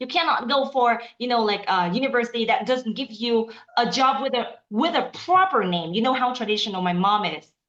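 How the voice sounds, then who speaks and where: Animated in tone, the speaker uses a Vietnamese accent, lively intonation and a fairly quick pace with hardly any pauses. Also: woman, high pitch for a woman. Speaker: aspiring interpreter. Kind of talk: casual chat.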